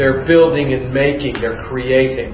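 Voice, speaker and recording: Amid noticeable background noise and audible room echo, a man with an American accent speaks fairly slowly at a fairly high pitch. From US Midwest (Youngstown, Ohio). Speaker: nursing instructor. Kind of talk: lecture.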